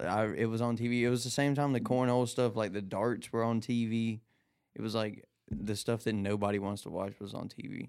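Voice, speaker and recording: This man's voice sits at a medium pitch. He talks at a fairly quick pace with fairly even intonation. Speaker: gun tester for online videos. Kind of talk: casual chat. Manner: loud.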